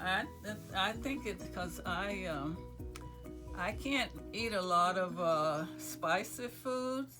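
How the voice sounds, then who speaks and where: Over background music, the speaker talks at a very slow pace with long, frequent pauses. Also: woman. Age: 80s+. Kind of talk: interview answer.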